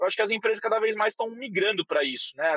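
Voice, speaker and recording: A man with a strong São Paulo accent speaks with ordinary pitch variation. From São Paulo, Brazil. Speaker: head of growth at a company. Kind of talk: casual interview.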